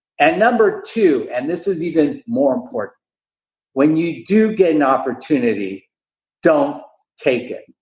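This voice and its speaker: Speaking slowly with long, frequent pauses, a man uses a fairly high pitch and vocal fry. His pitch swings very widely. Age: 60s. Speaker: dentist and entrepreneur. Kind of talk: podcast interview. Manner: animated.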